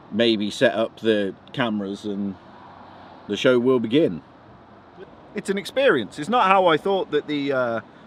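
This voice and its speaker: At a fairly slow pace and medium pitch, a man speaks with very wide pitch swings and long, frequent pauses. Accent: English Midlands. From English Midlands. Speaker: wrestling photographer and vlogger. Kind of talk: casual vlog chat. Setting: in a car stuck on the motorway.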